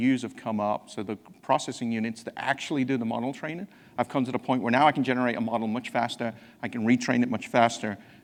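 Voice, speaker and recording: A man at a very fast pace, with a slight English accent, medium pitch and fairly even intonation. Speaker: technology executive presenting at a conference. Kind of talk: conference presentation. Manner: halting, with frequent repetitions.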